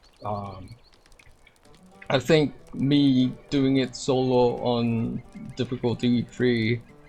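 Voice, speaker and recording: The speaker has a non-native accent and talks at a very slow pace. Long, frequent pauses break up the speech. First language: not English. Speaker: gaming video creator. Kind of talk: gameplay commentary. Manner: halting, many fillers.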